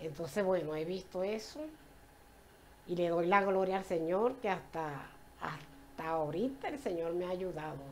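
Over light background noise, a woman speaks at a fairly slow pace with a fairly low pitch and ordinary pitch variation. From Venezuela, Puerto La Cruz (eastern coast); Venezuela. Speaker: church member giving testimony. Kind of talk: personal faith testimony in church. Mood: warm, joyful, faith-filled. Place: home room.

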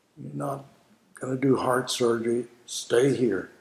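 A raspy male put-on character voice with a Texas accent, ordinary pitch variation and audible echo. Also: medium pitch for a man, moderate pace. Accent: Texas drawl. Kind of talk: interview answer.

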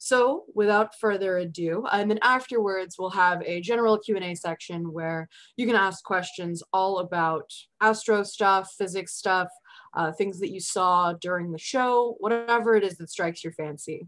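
The woman's speech has ordinary pitch variation and a moderate pace. Everything behind her is quiet. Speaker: presenter. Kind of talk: lecture. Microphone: video call.

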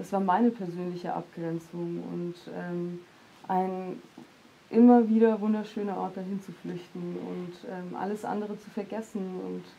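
A woman speaks at a fairly slow pace in a monotone, flat intonation, with long, frequent pauses. Her loudness swings widely over light background noise. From Heilbronn, Germany; Germany. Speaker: poet and social scientist; poet. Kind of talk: panel discussion. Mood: calm, thoughtful. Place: studio. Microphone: lapel.

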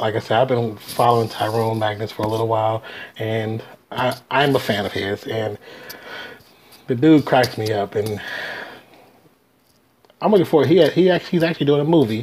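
Light background noise sits under the speech. The pace is moderate, with long, frequent pauses and ordinary pitch variation. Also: man. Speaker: reaction video host. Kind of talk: casual vlog chat. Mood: amused, cheerful. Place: home room. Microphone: earbuds.

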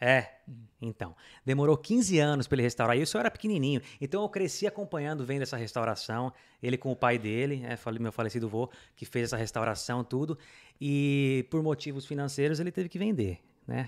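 Over a quiet background, the speaker talks at a fairly quick pace with lively intonation. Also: man, medium pitch for a man. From Brazil. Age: 30s. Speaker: immigrant business owner and motorcyclist; podcast guest. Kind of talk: casual interview chat. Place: studio. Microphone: studio mic.

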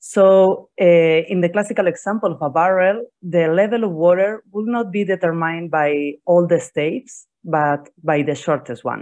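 A woman has a normal speaking voice, fairly low in pitch with ordinary pitch variation. She keeps a moderate pace with hardly any pauses against a quiet background. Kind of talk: conference lecture. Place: home room.

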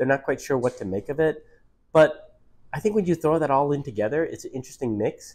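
Over a quiet background, a man with an American accent talks at a very fast pace. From US Midwest, Detroit. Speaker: author. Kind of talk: interview. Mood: warm, reflective. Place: cafe. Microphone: lapel.

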